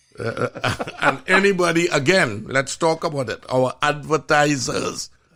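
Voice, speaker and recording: With a Trinidadian accent, a man speaks in an animated tone at a fairly slow pace, his fairly high pitch varying in an ordinary way. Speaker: physician and show host. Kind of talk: casual chat.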